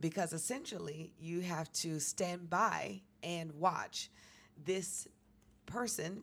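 In an American accent, a woman speaks at a very slow pace with a fairly low pitch and ordinary pitch variation. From New York City. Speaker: comedian. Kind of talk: casual chat. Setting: studio.

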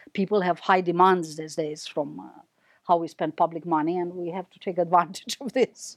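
In a Romanian accent, a woman speaks at a fairly low pitch and a moderate pace, her intonation fairly even but her loudness swinging widely. The recording is very clean with a silent background, and the sound is dry and close with no echo. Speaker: professor. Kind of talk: lecture. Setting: stage with audience.

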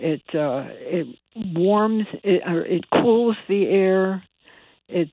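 This woman has an American accent. She talks at a medium pitch. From US Northeast (Bridgeport, Connecticut). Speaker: environmental activist. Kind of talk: radio interview.

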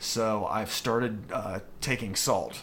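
Audible room echo around a male speaker. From US, Western Maryland small town. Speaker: amateur marathon runner. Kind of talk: casual interview chat.

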